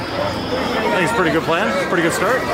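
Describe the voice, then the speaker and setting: Loud music plays behind a man whose voice has a dry sound with no echo. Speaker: family vlogger. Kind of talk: casual vlog chat. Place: street. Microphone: phone near.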